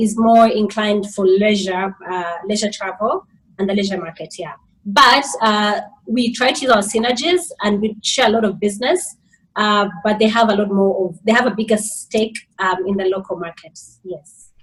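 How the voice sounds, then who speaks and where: A woman with a somewhat breathy voice talks at a moderate pace, her pitch medium and its variation ordinary. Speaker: hotel manager. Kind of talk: webinar interview.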